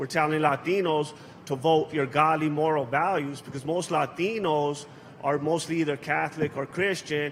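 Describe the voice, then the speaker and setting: Over noticeable background noise, a man with an American accent and a fairly high pitch speaks at a moderate pace with fairly even intonation. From Los Angeles, US. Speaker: political activist. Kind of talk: panel speech. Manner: casual, hesitant.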